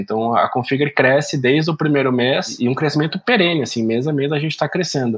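Noticeable background noise sits behind a man's fairly high voice. He talks at a very fast pace. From Brazil, interior of São Paulo state (Araraquara). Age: 30s. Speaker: startup founder and CEO. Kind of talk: podcast interview.

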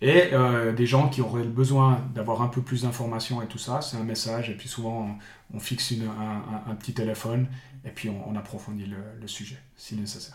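A man at medium pitch talks at a moderate pace with fairly even intonation, his somewhat breathy voice showing big swings in loudness amid audible room echo. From Switzerland, Bulle (canton of Fribourg). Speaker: sports coach. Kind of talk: interview. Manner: halting, frequent repetitions.

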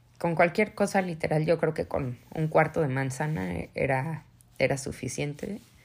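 Her voice very deep and low, a woman speaks fairly slowly and somewhat breathily with ordinary pitch variation, recorded very cleanly over a silent background. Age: 30s. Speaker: podcast host, mother. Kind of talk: personal testimony, partly read aloud.

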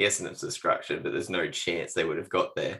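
A man is speaking. He has an Australian accent. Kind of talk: casual chat. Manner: casual, jokey.

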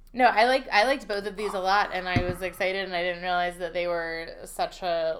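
At a moderate pace and with hardly any pauses, a woman with an American accent speaks at medium pitch with fairly even intonation over noticeable background noise. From Pennsylvania Dutch country. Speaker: food podcast co-host. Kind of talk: casual chat.

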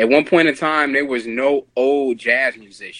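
A man is speaking. His pace is moderate. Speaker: podcast host. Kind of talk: casual group chat. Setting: video call.

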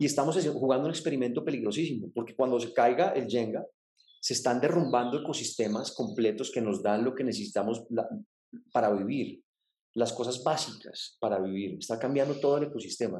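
Pitched in the medium range, this man's dark, mellow voice moves at a fairly quick pace with ordinary pitch variation. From Colombia, Bogotá. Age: 40s. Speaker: environmental advocate. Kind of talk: casual interview. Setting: at home. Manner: halting.

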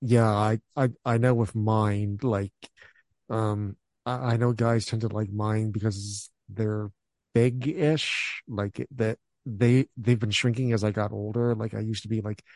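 Speaking at a fairly slow pace with fairly even intonation, the voice is an unremarkable speaking voice. The sound is dry and close with no echo, and the background is quiet. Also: man. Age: 30s. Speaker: podcast host. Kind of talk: casual chat.

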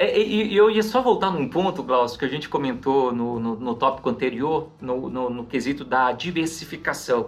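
At a moderate pace, a man with a normal speaking voice talks in a fairly high pitch with lively intonation. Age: 30s. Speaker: financial advisor. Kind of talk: podcast interview.

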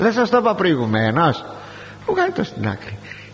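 Over noticeable noise in the background, the words come out at a fairly slow pace. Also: man. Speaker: preacher. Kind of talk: sermon. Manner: formal.

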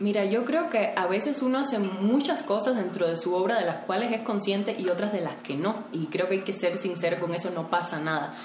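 Noticeable background noise and audible room echo surround a woman of medium pitch. She talks at a fairly quick pace with lively intonation and hardly any pauses. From Cuba. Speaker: photographer and artist. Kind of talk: interview. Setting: at the guest's home.

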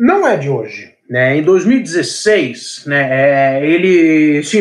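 With an ordinary speaking voice, a man speaks at a fairly high pitch using lively intonation. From Brazil, São Paulo. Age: 20s. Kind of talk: interview.

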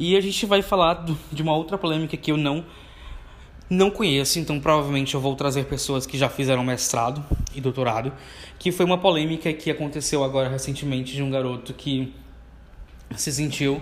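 The speaker goes at a fairly quick pace with long, frequent pauses and ordinary pitch variation. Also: man, fairly high pitch for a man. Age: 20s. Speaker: podcast host, university student. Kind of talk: solo podcast monologue. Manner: casual, conversational.

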